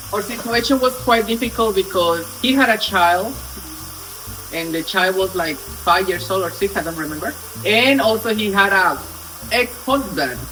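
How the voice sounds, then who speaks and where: With music in the background, a man in a Spanish accent uses a raised, projected voice at a moderate pace. His pitch is high, with ordinary pitch variation. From Colombia. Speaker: storytelling vlogger. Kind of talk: casual storytime vlog. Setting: home kitchen, cooking on camera. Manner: animated.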